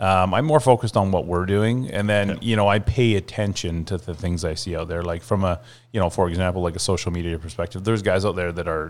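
In a very clean recording with a silent background, a man with a Canadian accent speaks very fast in a very deep, low pitch with ordinary pitch variation. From western Canada, North Shore of Vancouver. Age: 40s. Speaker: realtor. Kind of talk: interview.

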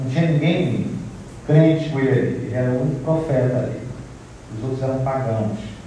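A man talks with fairly even intonation and long, frequent pauses. Noticeable background noise is present. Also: medium pitch for a man, moderate pace. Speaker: preacher. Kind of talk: expository sermon. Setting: church. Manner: earnest, exhorting, formal.

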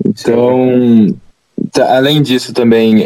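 At a very slow pace, a man speaks at medium pitch with a dark, mellow tone. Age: 20s. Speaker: engineering student. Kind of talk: casual chat.

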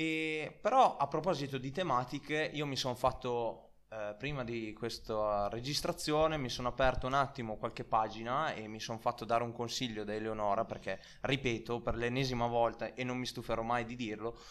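Using an unremarkable speaking voice, this man keeps a medium pitch, a moderate pace and ordinary pitch variation. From Italy. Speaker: podcast host. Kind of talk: casual chat.

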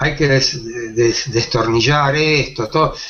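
A man talks with a Rioplatense accent and ordinary pitch variation. Music plays in the background. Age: 70s. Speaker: makeup artist and actor. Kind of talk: interview. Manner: halting, repeats words.

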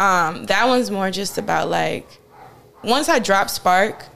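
Speaking with a North Carolina accent, a woman keeps a medium pitch, a moderate pace and fairly even intonation. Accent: Southern US, North Carolina. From eastern North Carolina, Farmville. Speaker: singer. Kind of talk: casual interview.

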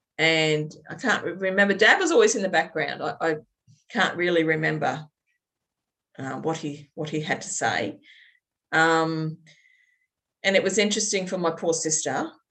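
Speaking with an Australian accent, a woman uses a fairly low pitch with ordinary pitch variation. Her pace is moderate, with long, frequent pauses. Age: 50s. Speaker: birth mother sharing her story. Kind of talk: testimony interview. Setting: video call. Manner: halting with many fillers.

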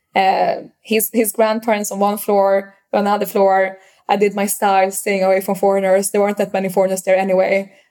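In a very clean recording with a silent background, a woman with a Swedish accent speaks fairly quickly and in a flat monotone, her medium-pitched voice dark and mellow, with hardly any pauses. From Sweden, Stockholm. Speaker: startup founder. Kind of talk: casual interview. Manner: hesitant, halting with fillers.

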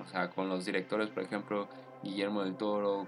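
The speaker is a man with a Mexican accent and a fairly low pitch. His intonation is monotone and flat. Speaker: podcast host. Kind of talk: solo commentary podcast. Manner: casual, hesitant with fillers.

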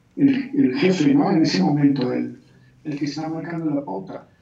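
Recorded with audible room echo, a man talks at a fairly high pitch with ordinary pitch variation. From Colombia. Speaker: aikido teacher. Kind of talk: interview.

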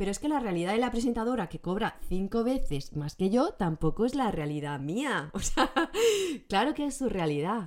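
A woman speaks in a fairly high pitch with an animated tone and very wide pitch swings. Her pace is moderate. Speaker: podcast host. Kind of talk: casual solo monologue. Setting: recorded on camera. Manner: animated, laughing often.

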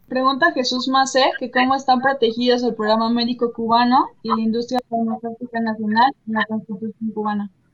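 A woman's high-pitched voice at a fairly quick pace with hardly any pauses and fairly even intonation, music in the background. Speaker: co-host. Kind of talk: interview. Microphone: audio problems.

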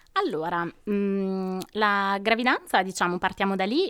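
An unremarkable speaking voice from a woman of medium pitch, fairly even in intonation and fairly slow in pace. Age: 20s. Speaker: nurse. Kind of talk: personal testimony.

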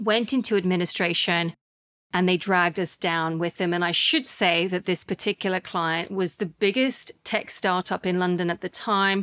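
Fairly even intonation at a moderate pace with a slight Australian accent, dry and close with no echo, on a very clean recording with a silent background. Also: woman. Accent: slight Australian twang. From Australia, Sydney. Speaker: podcast host and investor. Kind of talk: monologue audio journal.

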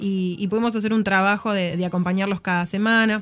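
A woman talks very fast at a medium pitch with ordinary pitch variation. Music plays in the background. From Argentina, Tucumán. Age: 30s. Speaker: podcast guest, volunteer. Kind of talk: casual chat. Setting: studio.

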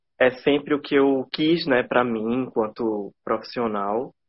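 A man speaks fairly slowly, his pitch shifting in an ordinary way. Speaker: professor and media researcher. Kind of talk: casual interview. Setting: Instagram live video call. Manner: slow, measured pace.

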